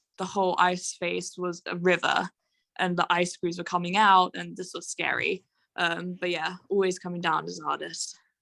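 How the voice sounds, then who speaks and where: Speaking with a British accent, a woman uses a bright, sharp tone and a fairly low pitch, her intonation monotone and flat. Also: moderate pace, very clean recording, silent background. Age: 20s. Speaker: mountaineer. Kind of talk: interview. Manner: frequent fillers (um, you know).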